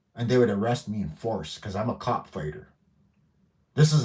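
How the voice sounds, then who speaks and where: A man with a fairly low pitch talks at a fairly quick pace, somewhat breathy. His tone is animated and his intonation lively. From northwestern Ontario, Canada. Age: 50s. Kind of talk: live stream monologue. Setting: at home.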